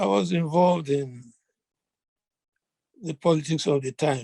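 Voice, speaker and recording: A man speaks at a moderate pace with a fairly high pitch, a dark, mellow tone, a somewhat breathy quality, and ordinary pitch variation, all in a dry, close sound with no echo. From Nigeria. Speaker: veteran journalist. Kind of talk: interview.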